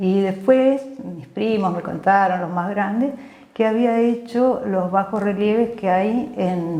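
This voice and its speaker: Amid noticeable background noise and audible room echo, a woman talks at a very slow pace in a medium pitch with ordinary pitch variation. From Argentina, Mendoza (San Martín). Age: 60s. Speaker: physician. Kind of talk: interview, life story. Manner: hesitant, many fillers.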